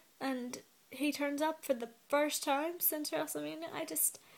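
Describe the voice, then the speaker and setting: A woman with a British accent speaks at a fairly slow pace. Her pitch is high. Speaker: wrestling vlogger. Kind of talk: casual vlog commentary. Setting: in bed at home. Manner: animated.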